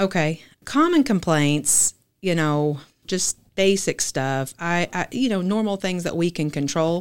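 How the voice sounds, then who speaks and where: A woman in a Southern US accent, fairly low in pitch and fairly slow, with lively intonation, on a very clean recording with a silent background. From Arkansas (Fort Smith). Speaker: grocery chain bakery-deli executive. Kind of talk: casual interview.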